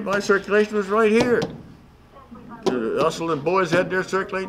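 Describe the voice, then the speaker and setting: Over noticeable background noise, a man with an American accent talks at a very fast pace in a high pitch. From West Virginia, Parkersburg. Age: 90s. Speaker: newspaper columnist and former editor. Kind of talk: interview. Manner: halting, many fillers and repeats.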